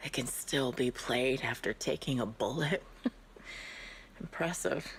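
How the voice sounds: Using a put-on character voice, a woman speaks slowly at an extremely low pitch with ordinary pitch variation.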